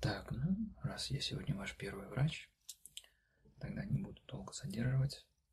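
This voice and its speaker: Soft-spoken and with a gentle tone, a man speaks at a fairly slow pace. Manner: soft, gentle ASMR murmur. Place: home room.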